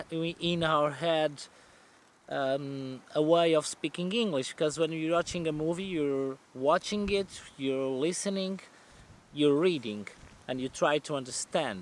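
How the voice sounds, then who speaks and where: A man with a Portuguese accent talks at a fairly slow pace. His pitch is fairly high, with ordinary pitch variation. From central Portugal. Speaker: van life vlogger. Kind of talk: casual Q&A vlog. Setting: outdoors. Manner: halting, self-correcting.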